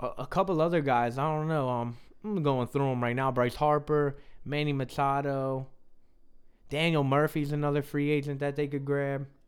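A man with an American accent speaks at a fairly high pitch and moderate pace, with fairly even intonation. It is an unremarkable speaking voice on a very clean recording with a silent background. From US, South Jersey. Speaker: sports podcast host. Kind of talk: casual sports talk.

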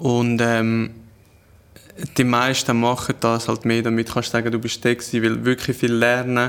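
A man speaks in a monotone, flat way at a fairly slow pace. He leaves long, frequent pauses. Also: medium pitch for a man, very even loudness. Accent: Glarus Swiss. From Switzerland, canton Glarus. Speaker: chef and food content creator. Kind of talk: casual chat.

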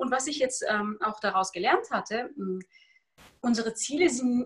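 A woman's fairly high-pitched voice with lively intonation, at a moderate pace. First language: Tajik and Russian (speaking German). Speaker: author and personal development coach. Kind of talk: interview conversation.

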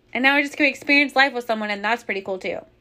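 The speaker uses a raised, projected voice with a bright, sharp, animated tone and ordinary pitch variation. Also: woman. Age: 40s. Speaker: podcast host. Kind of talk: casual monologue.

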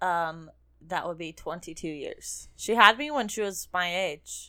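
Her tone is bright and sharp, and her pitch sits at a medium level for a woman. She speaks at a very slow pace on a very clean recording with a silent background. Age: 20s. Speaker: podcast co-host. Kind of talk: casual chat.

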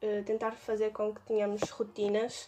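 A woman with a European Portuguese accent at a moderate pace against a quiet background. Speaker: student association podcast host. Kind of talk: casual chat.

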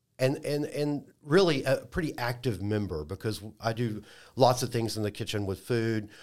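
A man with an American accent and an ordinary speaking voice talks at a fairly quick pace and medium pitch with ordinary pitch variation, on a very clean recording with a silent background. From Dallas, Texas. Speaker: IT worker and food group co-founder. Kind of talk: casual chat.

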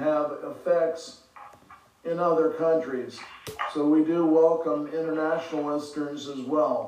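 Background noise is noticeable as a man speaks at a very slow pace in an American accent. His pitch is fairly high and his intonation fairly even. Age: 70s. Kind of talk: solo podcast monologue on politics. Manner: hesitant, filler words.

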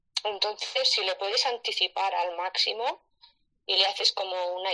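A woman's bright, sharp voice at a medium pitch and a moderate pace. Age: 40s. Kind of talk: live audio-room discussion.

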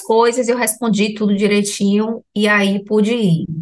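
A woman speaks over noticeable background noise. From Salvador, Bahia, Brazil. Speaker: health professional sharing ayahuasca experience. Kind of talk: personal testimony in interview.

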